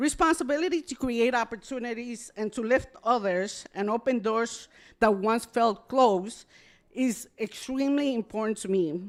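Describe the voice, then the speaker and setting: At a moderate pace, a woman talks with fairly high pitch and ordinary pitch variation. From Ecuador. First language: Spanish. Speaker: award honoree, corporate executive. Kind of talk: acceptance speech.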